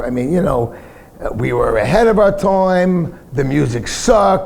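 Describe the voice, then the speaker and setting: A New York accent at a fairly slow pace, with very wide pitch swings, audible room echo and noticeable background noise. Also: man. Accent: New York (Bronx). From US Northeast (Bronx, New York City). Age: 60s. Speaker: punk singer. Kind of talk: casual interview on stage. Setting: bar with live audience.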